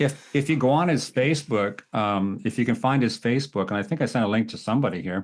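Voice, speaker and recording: A man talks at a very fast pace with hardly any pauses. His pitch is medium and his intonation lively. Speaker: photographer, workshop teacher. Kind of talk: casual chat. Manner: animated.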